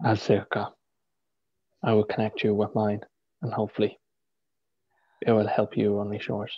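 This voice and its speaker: A fairly low male voice at a moderate pace, flat and monotone, broken by long, frequent pauses, over a quiet background. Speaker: spiritual healer. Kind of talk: guided meditation. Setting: live video stream. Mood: calm, soothing. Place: home room. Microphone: video call.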